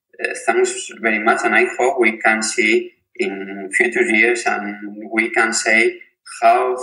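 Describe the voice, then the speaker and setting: A man is talking. He has a Spanish accent. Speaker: physiotherapist and researcher. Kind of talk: interview. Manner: halting, repeats words.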